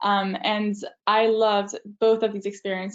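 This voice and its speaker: At a moderate pace, a woman with a French accent speaks in a medium pitch with monotone, flat intonation. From France. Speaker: university student. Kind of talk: student talk in a webinar. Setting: video webinar. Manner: hesitant, many fillers.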